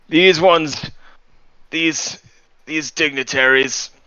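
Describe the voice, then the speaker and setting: A man speaks in a put-on character voice with fairly high pitch. His delivery is very slow and his intonation fairly even. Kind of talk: courtly, formal.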